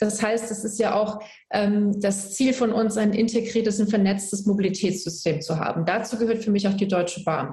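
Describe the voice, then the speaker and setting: Over noticeable background noise and audible room echo, the speaker goes at a moderate pace with fairly even intonation. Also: woman, medium pitch for a woman. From Germany, Palatinate (rural village). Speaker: politician. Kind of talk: political debate.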